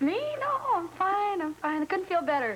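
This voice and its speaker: A woman puts on a squeaky character voice at an extremely high pitch, talking at a moderate pace over light background noise. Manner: slurring, insisting he is fine.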